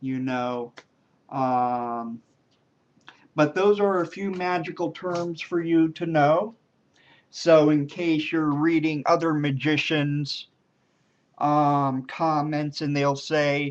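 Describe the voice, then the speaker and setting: Long, frequent pauses break up the speech against a quiet background. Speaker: magician. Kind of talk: tutorial. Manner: stammers over words; casual, filler-heavy.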